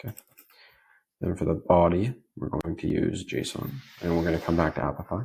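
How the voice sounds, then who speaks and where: A man's very deep, low voice, somewhat breathy, with ordinary pitch variation. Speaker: automation tutorial creator. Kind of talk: screen-share tutorial. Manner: fast; casual, filler-heavy.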